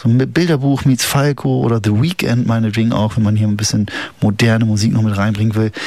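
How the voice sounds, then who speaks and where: Fairly quick speech from a man, with noticeable background noise behind him. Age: 40s. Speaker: community radio host. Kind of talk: casual radio chat. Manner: casual, hesitant with many fillers.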